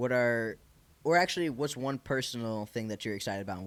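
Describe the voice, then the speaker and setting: A man with an American accent, medium pitch, lively intonation and a very fast pace. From Michigan. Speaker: podcast host. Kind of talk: casual interview chat. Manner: animated.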